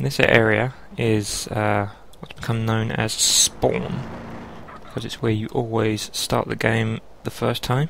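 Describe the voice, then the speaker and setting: Against noticeable background noise, a man at medium pitch speaks at a fairly slow pace with ordinary pitch variation. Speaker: gamer, let's play commentator. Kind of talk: casual gameplay commentary. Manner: shy, somewhat mumbling.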